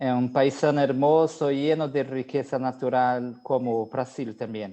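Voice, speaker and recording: In a Brazilian accent, a man speaks fairly slowly at a medium pitch, his tone dark and mellow and his intonation monotone and flat. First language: Portuguese (speaking Spanish). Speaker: hematologist. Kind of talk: lecture.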